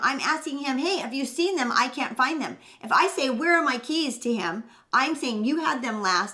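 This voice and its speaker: High-pitched and bright, sharp in tone, a woman speaks in a raised, projected voice. Her intonation is lively. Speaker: parenting show co-host. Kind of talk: casual chat. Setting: live stream. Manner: fast.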